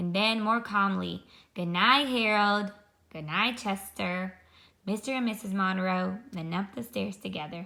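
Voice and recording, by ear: The voice reads aloud in a natural way.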